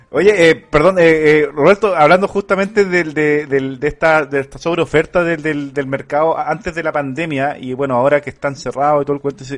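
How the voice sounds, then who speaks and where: Fairly quick and with hardly any pauses, a man talks in a Chilean accent at a fairly high pitch with ordinary pitch variation. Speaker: podcast host. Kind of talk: casual interview.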